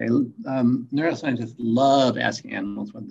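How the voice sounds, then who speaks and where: A man's medium-pitched voice with vocal fry. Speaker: neuroscience lecturer. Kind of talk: lecture. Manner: fast; informal, hesitant with fillers.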